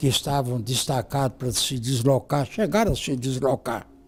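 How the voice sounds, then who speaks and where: The man's voice has a dark, mellow tone. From Brazil, northern Minas Gerais (Montes Claros). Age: 80s+. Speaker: lawyer and former politician. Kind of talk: interview. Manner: halting, with repetitions.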